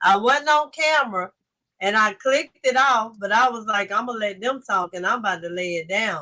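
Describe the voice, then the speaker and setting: With a Southern US accent, a woman speaks at a moderate pace and fairly high pitch, her intonation lively and her tone bright and sharp. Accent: Southern, country. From US South, Lake Charles Louisiana. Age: 40s. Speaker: livestream host. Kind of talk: casual chat. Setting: livestream.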